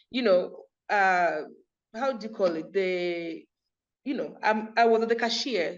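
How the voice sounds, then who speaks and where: A woman with an American accent, fairly high pitch and lively intonation, at a fairly slow pace with long, frequent pauses and audible room echo. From Kenya, Kakamega. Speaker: entrepreneur and community group founder. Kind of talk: interview. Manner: animated.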